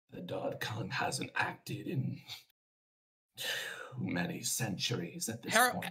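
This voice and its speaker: A man uses a raspy, put-on character voice. He talks at a fairly slow pace with long, frequent pauses. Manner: stern, suspicious.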